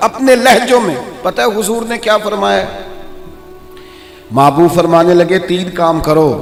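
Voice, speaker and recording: A man's high-pitched voice with lively intonation over background music. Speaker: Islamic preacher giving a sermon. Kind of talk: Islamic sermon, passionate preaching. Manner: emotive, emphatic, addressing the audience directly.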